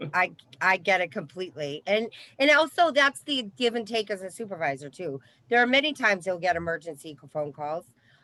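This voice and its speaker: With a Boston accent, a woman talks at a fairly quick pace in a bright, sharp tone, her loudness swinging widely and her pitch swinging very wide. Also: medium pitch for a woman. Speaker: recovery coach supervisor and trainer. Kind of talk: training session discussion.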